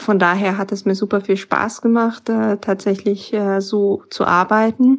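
Over a quiet background, a woman talks with hardly any pauses in a monotone, flat intonation. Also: medium pitch for a woman, fairly slow pace. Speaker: business school alumna, consultant. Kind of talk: interview.

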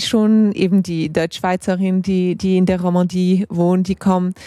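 A woman's medium-pitched voice comes through dry and close with no echo, in a very clean recording over a silent background. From Geneva, Switzerland. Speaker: literary scholar. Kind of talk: casual chat. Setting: tent at a literature festival. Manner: halting, many fillers.

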